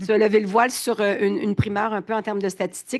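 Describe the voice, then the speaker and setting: A woman's medium-pitched voice comes through with a quiet background. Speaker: business association president. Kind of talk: panel discussion. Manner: hesitant, many fillers.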